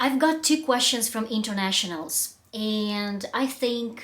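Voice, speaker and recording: A woman in a Russian accent, fairly high in pitch with ordinary pitch variation, at a very slow pace. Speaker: public speaking coach. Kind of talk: vlog monologue. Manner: halting, with fillers.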